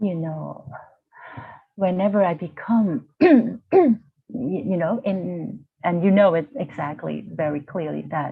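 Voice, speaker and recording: A woman with a Vietnamese accent speaks at a fairly low pitch and a very slow pace. Her ordinary pitch variation is broken by long, frequent pauses. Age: 40s. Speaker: university lecturer, healing practitioner. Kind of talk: interview. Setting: video call. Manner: halting.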